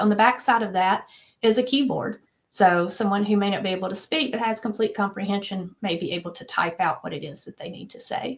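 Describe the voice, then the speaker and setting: At a very fast pace, a woman talks with fairly high pitch and ordinary pitch variation. Her voice is somewhat breathy. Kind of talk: interview.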